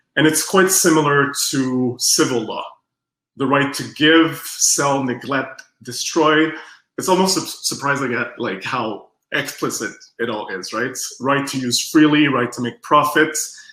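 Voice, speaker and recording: Audible room echo surrounds a man speaking at a fairly slow pace. His fairly high pitch has ordinary variation and a bright, sharp tone. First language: French. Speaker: strategic design researcher. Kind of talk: workshop presentation. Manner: halting.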